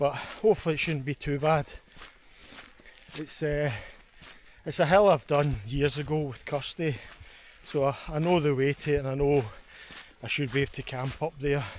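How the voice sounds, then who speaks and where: A man talks at a fairly high pitch. His pace is moderate and his intonation fairly even. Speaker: hiking and camping vlogger. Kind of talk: vlog narration while hiking. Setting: outdoors, hiking uphill. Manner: casual, chatty.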